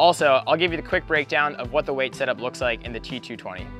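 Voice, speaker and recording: A man talking at a very fast pace, dry sound with no echo, faint music in the background. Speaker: boat reviewer. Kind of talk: product walkthrough. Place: boat. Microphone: lapel.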